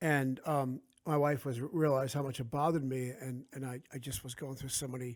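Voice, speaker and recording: Speaking fairly quickly with a New Jersey accent, a man keeps a medium pitch and fairly even intonation. The recording is very clean, with a silent background. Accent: New Jersey American. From South Jersey, US. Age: 50s. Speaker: author. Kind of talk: casual interview chat.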